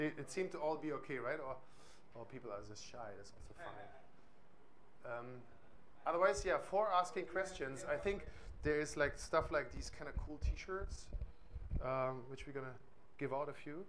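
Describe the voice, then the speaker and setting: A man with a German accent speaks at a moderate pace in a fairly high pitch, his intonation lively. His loudness swings widely, and the room echo is audible. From East Germany. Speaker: music software trainer. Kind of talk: workshop tutorial. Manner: hesitant, many fillers.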